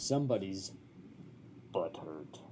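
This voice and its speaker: This is a put-on character voice. Clear background noise runs underneath. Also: man, fairly low pitch for a man. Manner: mocking.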